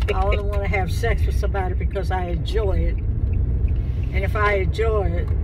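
Against noticeable background noise, a woman speaks at a moderate pace with hardly any pauses, the sound dry with no echo. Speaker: grandmother. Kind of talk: interview answer. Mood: frank, animated. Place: car.

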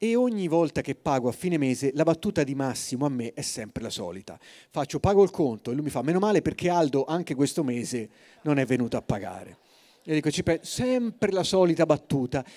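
A man talks at a fairly quick pace in a fairly high pitch. His tone is dark and mellow, with very wide pitch swings. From Tuscany, Forte dei Marmi; Tuscany. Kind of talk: storytelling talk. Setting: stage with audience. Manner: animated; soft-spoken. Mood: humorous, lively. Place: stage. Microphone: handheld.

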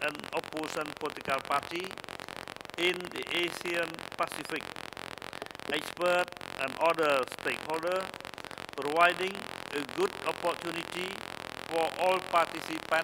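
Loud background noise sits behind a man's voice. He speaks at a fairly slow pace with long, frequent pauses. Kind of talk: formal opening speech. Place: hall. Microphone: podium.

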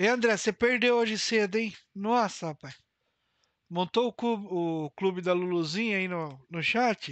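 The speech moves at a fairly slow pace. The background is quiet, and the sound is dry with no echo. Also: man, high pitch for a man, ordinary pitch variation. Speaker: live streamer and roleplay gamer; live streamer, roleplay gamer. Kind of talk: casual live-stream gameplay chat. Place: home room.

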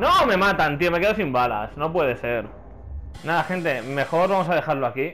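There is noticeable background noise. A man talks at a moderate pace and a fairly high pitch with lively intonation. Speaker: gaming youtuber. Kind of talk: let's play commentary. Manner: animated.

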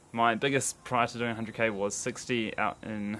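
With noticeable noise in the background, a man speaks in a fairly low pitch and a flat, monotone delivery. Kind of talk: casual vlog chat. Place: garden. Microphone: phone near.

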